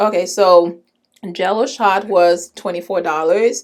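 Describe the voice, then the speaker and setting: In an animated tone, a woman is talking. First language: not English. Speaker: beauty vlogger. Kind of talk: product haul video.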